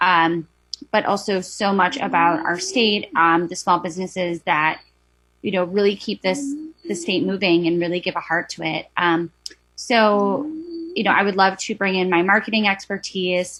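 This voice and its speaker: With a Wisconsin accent, a woman speaks at a moderate pace in a medium pitch, using ordinary pitch variation. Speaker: board applicant. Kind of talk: public testimony. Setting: video call.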